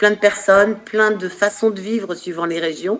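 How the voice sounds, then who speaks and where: On a very clean recording with a silent background, the speech moves at a very slow pace. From northern France (Nord-Pas-de-Calais). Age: 60s. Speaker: animal communication medium and author. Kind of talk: interview.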